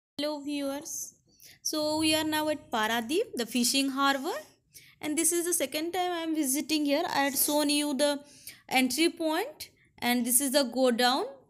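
A woman's high voice at a moderate pace, with ordinary pitch variation and a quiet background. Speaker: travel vlogger. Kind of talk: casual vlog commentary. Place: waterside. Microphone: phone near.

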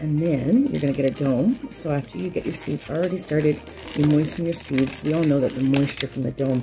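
Clear music plays in the background as a woman with a very deep, low pitch speaks at a moderate pace with ordinary pitch variation. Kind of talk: casual tutorial vlog. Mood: excited, upbeat. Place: home room. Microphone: phone near.

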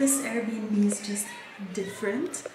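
A woman at a fairly slow pace, with ordinary pitch variation and strong room echo

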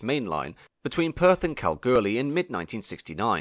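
The man's British accent carries vocal fry and very wide pitch swings, on a very clean recording with a silent background and a dry, close sound with no echo. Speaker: railway history video narrator. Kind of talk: scripted narration. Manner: formal.

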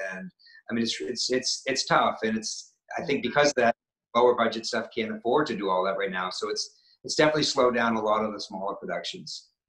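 A man talking at a very fast pace, with audible room echo and a quiet background. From Maine, New England. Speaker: actor and stuntman. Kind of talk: casual interview chat. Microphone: video call.

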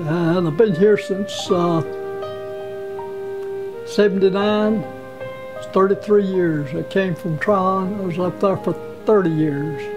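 A man's high voice at a very slow pace with long, frequent pauses and ordinary pitch variation, over clear music in the background. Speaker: shoe repairman. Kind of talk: interview answer. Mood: warm, reminiscing. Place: workshop.

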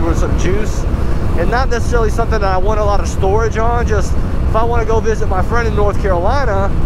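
A man speaks fairly quickly in a dry, echo-free sound against loud background noise. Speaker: scooter rider vlogger. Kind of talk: casual vlog chat. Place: motorbike. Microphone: helmet.

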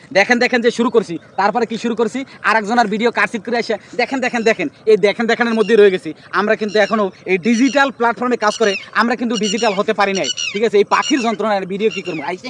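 Noticeable background noise surrounds a man with a high pitch and an animated tone, recorded with a dry, close sound and no echo. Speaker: social media tutorial youtuber. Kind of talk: tutorial. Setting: outdoors. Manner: repetitive, animated.

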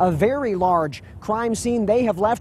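Light background noise sits behind a man with a high pitch. His pitch varies in an ordinary way, and the sound is dry with no echo. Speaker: TV news reporter. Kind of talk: live field report. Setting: outdoors on location. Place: open country.

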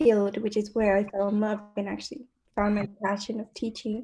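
A woman speaks in a dark, mellow tone, somewhat breathy, with monotone, flat intonation. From Georgia, US South; Puerto Rican family. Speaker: university student. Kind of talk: panel discussion. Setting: video call. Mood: warm, smiling. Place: home room. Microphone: video call.

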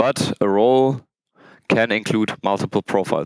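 A man speaks in a normal speaking voice with fairly even intonation against a quiet background. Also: dry sound with no echo. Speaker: conference speaker. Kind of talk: technical conference talk. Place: hall.

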